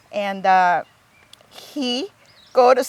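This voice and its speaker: This is a woman speaking. She has a Thai accent. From Thailand. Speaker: garden owner. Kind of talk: interview. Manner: halting.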